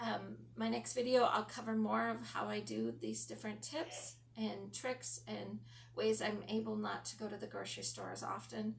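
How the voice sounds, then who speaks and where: At a moderate pace, a woman talks amid noticeable background noise and audible room echo. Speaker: lifestyle vlogger. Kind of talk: casual talk to camera. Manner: frequent ums, hesitant.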